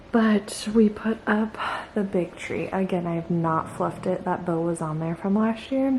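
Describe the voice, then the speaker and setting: A soft-spoken woman talks at a medium pitch and a fairly slow pace. Noticeable background noise is present. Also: ordinary pitch variation. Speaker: vlogger, mom. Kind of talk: casual vlog narration. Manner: soft-spoken, quiet.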